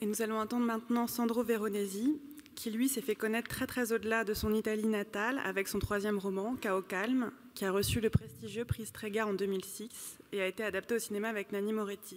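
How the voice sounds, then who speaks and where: The pace is fairly quick. This is an unremarkable speaking voice. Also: woman, fairly high pitch for a woman, fairly even intonation. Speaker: moderator. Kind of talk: moderated literary panel. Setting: stage with audience. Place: stage. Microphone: podium.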